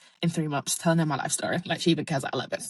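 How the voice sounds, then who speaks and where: Against music in the background, a woman talks in an animated tone at a very fast pace and fairly low pitch, the sound dry and close with no echo. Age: 20s. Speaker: podcast host. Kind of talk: casual monologue.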